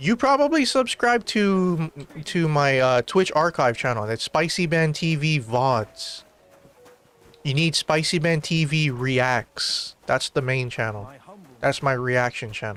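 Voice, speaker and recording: Music plays behind a man with a fairly high pitch. His intonation is lively and his pace fairly slow. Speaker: streamer. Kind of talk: casual chat.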